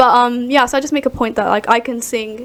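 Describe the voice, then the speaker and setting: Over noticeable background noise, a woman talks fairly quickly in a fairly high pitch with monotone, flat intonation. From mixed: Ireland, Sheffield, West Midlands. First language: not English. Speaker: singer. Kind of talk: podcast interview.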